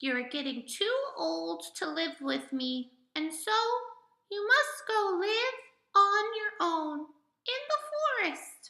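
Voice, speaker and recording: A woman's put-on character voice, squeaky and extremely high-pitched, at a fairly slow pace with long, frequent pauses. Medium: read story.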